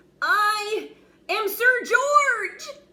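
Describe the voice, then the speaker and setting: A woman puts on a squeaky character voice at an extremely high pitch. Her pitch varies in an ordinary way. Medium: read story. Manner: nervous, stammering.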